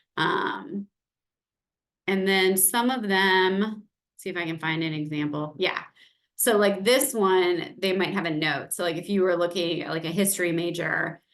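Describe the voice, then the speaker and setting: At a fairly slow pace, this is a plain, everyday voice with ordinary pitch variation. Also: woman, medium pitch for a woman. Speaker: global education manager. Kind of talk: online information session Q&A, screen-share walkthrough.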